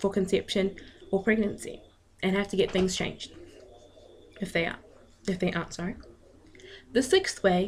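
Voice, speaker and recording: Somewhat breathy and medium in pitch, a woman talks at a fairly quick pace with fairly even intonation. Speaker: student. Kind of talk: class presentation. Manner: stuttering, with pauses.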